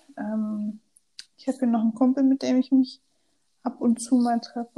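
A woman's voice carries a dark, mellow tone and is somewhat breathy. Her intonation stays fairly even. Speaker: podcast co-host, student. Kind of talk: casual chat.

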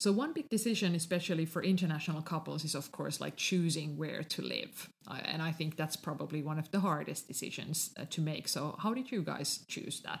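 With a Finnish accent, a woman speaks at a fairly quick pace with hardly any pauses. Her very deep, low pitch shows vocal fry and ordinary pitch variation. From Finland. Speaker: podcast host. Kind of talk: casual chat.

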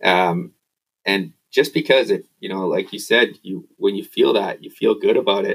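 A man at a moderate pace with a Canadian accent. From Canada. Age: 30s. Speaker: off-road motorcycle racer. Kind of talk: casual chat.

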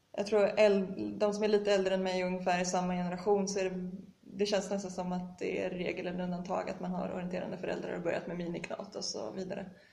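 Talking very fast in a flat monotone, a woman with a medium pitch is heard with audible room echo and noticeable background noise. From Sweden, Gothenburg. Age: 20s. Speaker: elite orienteer. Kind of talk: interview.

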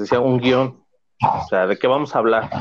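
A man speaks with a Mexican accent. His pitch is medium, with ordinary pitch variation. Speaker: teacher starting a podcast. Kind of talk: casual chat.

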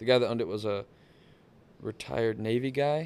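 The voice moves at a fairly quick pace with a Texan accent. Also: man. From South Texas coast. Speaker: motorsports technician and off-road driver. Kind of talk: casual chat.

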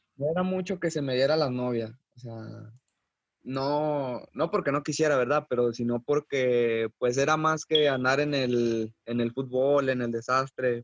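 An ordinary speaking voice belongs to this man, who talks at medium pitch and a fairly slow pace. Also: fairly even intonation, dry, close sound with no echo. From Mexico, Coahuila. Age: 20s. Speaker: professional footballer. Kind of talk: interview.

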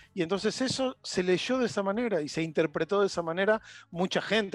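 Very fast, lively male speech on a very clean recording with a silent background. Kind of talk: casual chat. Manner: halting.

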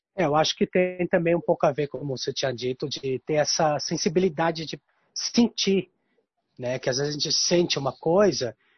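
Moderate pace and ordinary pitch variation from a man whose voice is somewhat breathy. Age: 40s. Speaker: guest talking about his zodiac sign. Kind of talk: casual chat. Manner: halting.

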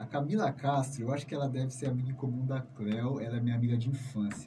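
Very rapid male speech in a medium pitch, noticeable background noise behind it. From São Paulo, Brazil (south zone). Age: 30s. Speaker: community radio host. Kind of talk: radio interview.

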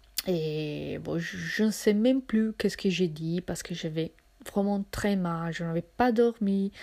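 Very slowly, a woman talks in a dark, mellow tone. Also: medium pitch for a woman, ordinary pitch variation. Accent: non-native. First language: not French (speaking French). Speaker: podcaster. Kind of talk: personal storytelling monologue. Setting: at home in her apartment. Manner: hesitant, many fillers and repetitions.

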